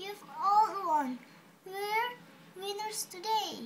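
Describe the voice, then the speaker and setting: A put-on character voice, squeaky and extremely high in pitch. It moves at a very slow pace. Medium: read story.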